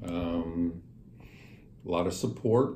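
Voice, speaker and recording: A man's very deep, low, somewhat breathy voice, dark and mellow in tone, with an American accent and audible room echo. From US South, western Kentucky (rural Breckinridge County). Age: 60s. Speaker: businessman. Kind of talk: interview.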